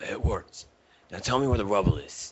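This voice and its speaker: A raspy, put-on character voice from a man at a fairly quick pace. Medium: read story.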